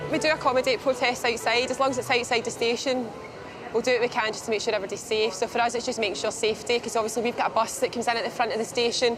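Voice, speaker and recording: A woman's very fast, monotone delivery in a Glasgow accent, fairly high in pitch and flat in intonation, over music in the background. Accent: Scottish (Glasgow). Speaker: railway station staff. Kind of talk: casual chat.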